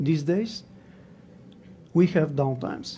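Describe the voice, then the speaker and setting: This voice has a dark, mellow tone and is somewhat breathy. Its pitch varies in an ordinary way, and the pace is fairly slow. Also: man. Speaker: conference speaker on databases. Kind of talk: technical talk.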